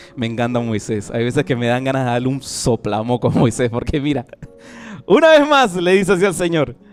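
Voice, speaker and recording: Against music in the background, a man talks fairly quickly at a medium pitch with lively intonation. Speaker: pastor. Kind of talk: sermon.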